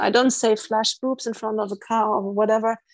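Recorded with a dry, close sound with no echo and a quiet background, a woman with a German accent talks at a moderate pace and a fairly high pitch. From East Germany. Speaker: life coach and marine conservationist. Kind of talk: interview.

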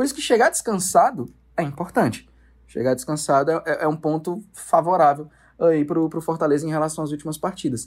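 Speaking at a fairly quick pace, a man has a normal speaking voice, a fairly high pitch and ordinary pitch variation. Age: 20s. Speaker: sports TV producer and presenter. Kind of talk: casual sports chat.

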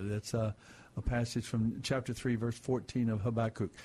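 Against a quiet background, a man speaks at a moderate pace. His tone is dark and mellow, and his voice is somewhat breathy. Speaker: radio Bible program host. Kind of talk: Bible teaching on radio call-in show. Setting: studio. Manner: soothing, sleep-inducing.

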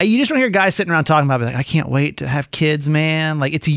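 A man with fairly high pitch and lively intonation, dry and close with no echo, on a very clean recording with a silent background. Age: 40s. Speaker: radio show co-host. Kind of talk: casual chat. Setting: studio.

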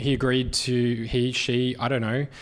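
A man's medium-pitched voice with an Australian accent and fairly even intonation. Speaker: podcast producer and host. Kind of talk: live keynote Q&A. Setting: stage with audience.

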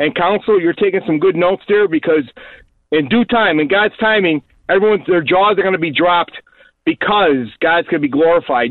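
Keeping very even loudness, a man with a high pitch talks at a fairly quick pace with ordinary pitch variation. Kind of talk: talk radio discussion with preaching. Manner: animated.

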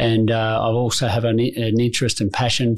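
Medium in pitch, a man speaks with an Australian accent. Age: 50s. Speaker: insurance broker executive. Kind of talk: interview.

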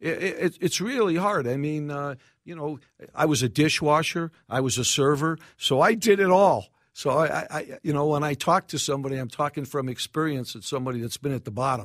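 In an American accent, a man with an unremarkable speaking voice talks at a fairly quick pace, fairly high in pitch with ordinary pitch variation. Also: very clean recording, silent background. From New York City. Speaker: restaurateur. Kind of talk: casual interview.

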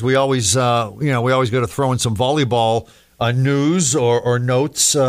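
This man has an unremarkable speaking voice set at a medium pitch. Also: very even loudness. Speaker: sports podcast host. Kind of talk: casual chat. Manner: joking, chatty.

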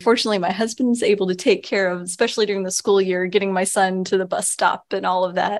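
A woman speaks with an American accent in an ordinary speaking voice, her intonation fairly even. The recording is very clean, with a silent background. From Texas. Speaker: newspaper reporter. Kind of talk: interview.

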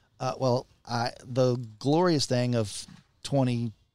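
A man with a Texan accent talks in a medium pitch on a very clean recording with a silent background. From Texas, San Antonio. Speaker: radio announcer. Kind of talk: radio interview. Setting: recording in a western outfitters store.

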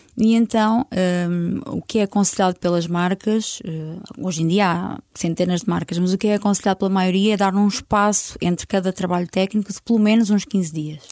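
A woman's ordinary speaking voice at a medium pitch and moderate pace, with fairly even intonation, dry and close with no echo, on a very clean recording with a silent background. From northern Portugal, Vila Real. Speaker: hair colourist. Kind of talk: casual interview.

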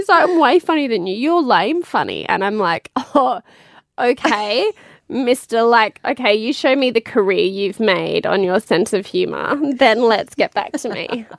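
A woman with a fairly high pitch and lively intonation talks at a fairly slow pace in a dry, close recording with no echo. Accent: Australian. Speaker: podcast host. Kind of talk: casual chat. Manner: animated, laughing a lot.

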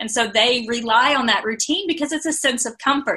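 A woman speaks at a fairly quick pace with ordinary pitch variation. Hers is an unremarkable speaking voice. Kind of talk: casual chat.

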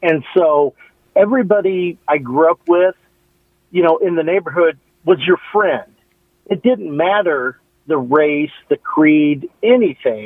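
Speaking at a fairly slow pace with long, frequent pauses, a man uses a high pitch, lively intonation and very even loudness. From Nebraska. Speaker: caller. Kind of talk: radio call-in. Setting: phone call.

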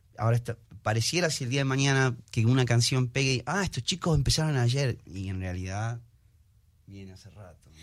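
An ordinary speaking voice from a man, medium in pitch, fairly quick and with lively intonation. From Argentina. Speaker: singer, musician. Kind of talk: interview.

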